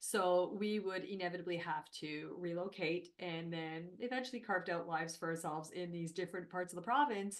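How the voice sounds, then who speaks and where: This woman speaks at a fairly low pitch and a fairly quick pace. Her pitch variation is ordinary, and she hardly pauses at all. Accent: French Canadian. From Northern Ontario, French Canadian. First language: French. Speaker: HR consultant and company founder. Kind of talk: podcast interview.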